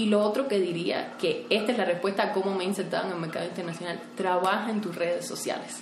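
A woman's medium-pitched, very fast speech with hardly any pauses, ordinary pitch variation and noticeable background noise. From Cuba. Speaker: photographer and artist. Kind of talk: interview. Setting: at the guest's home.

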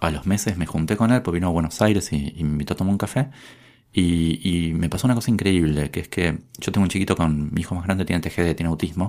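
On a very clean recording with a silent background, a man with a very deep, low pitch speaks at a very fast pace with ordinary pitch variation. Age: 40s. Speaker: journalist and economist. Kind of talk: casual interview.

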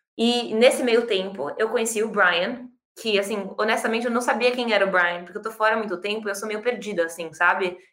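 Her voice is fairly high in pitch, with ordinary pitch variation. The woman talks at a fairly quick pace with hardly any pauses. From Brazil, São Paulo. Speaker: startup accelerator co-founder. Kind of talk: interview.

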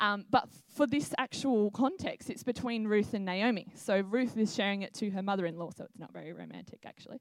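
In an Australian accent, the speaker moves at a fairly quick pace with hardly any pauses, ordinary pitch variation and big swings in loudness. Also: woman, medium pitch for a woman. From Australia, Adelaide. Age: 20s. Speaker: church preacher. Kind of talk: sermon. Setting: church with congregation.

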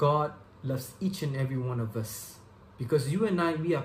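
At a moderate pace, a man talks in a somewhat breathy voice with fairly high pitch and ordinary pitch variation. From Malaysia, Subang Jaya. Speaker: lay preacher. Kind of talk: sermon.

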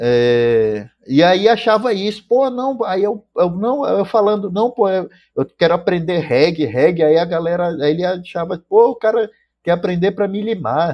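This man talks at a fairly slow pace in a high pitch. His pitch swings very widely. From Manaus, Amazonas, Brazil. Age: 30s. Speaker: drummer. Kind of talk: casual chat. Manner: halting, many repetitions.

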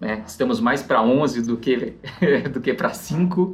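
Here a man talks with lively intonation. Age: 30s. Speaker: financial advisor. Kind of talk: podcast interview.

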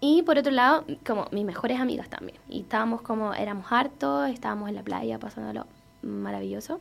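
In a Chilean accent, a woman talks at a fairly quick pace. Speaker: podcast host. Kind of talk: casual chat.

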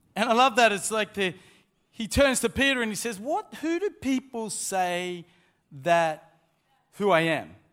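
A high male voice, very slow with long, frequent pauses and lively intonation, on a very clean recording with a silent background. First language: English (speaking French). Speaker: preacher. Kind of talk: sermon. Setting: church. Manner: interpreted sermon, pausing for French translation.

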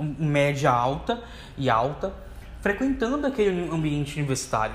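A man speaks at a fairly slow pace with a fairly high pitch and lively intonation. His voice is somewhat breathy, and the room echo is audible. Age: 20s. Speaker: podcast host, university student. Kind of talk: solo podcast monologue. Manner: casual, conversational.

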